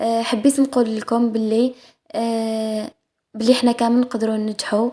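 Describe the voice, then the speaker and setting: A woman's fairly high voice with a dark, mellow tone, a moderate pace and monotone, flat intonation. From Algeria. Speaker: cooking vlogger. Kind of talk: cooking vlog voice-over. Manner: halting, many fillers and restarts; casual.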